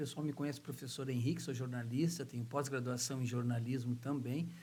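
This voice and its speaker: A man talks with a medium pitch. The room echo is audible. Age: 60s. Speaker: journalist and author, oratory teacher. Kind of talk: podcast interview.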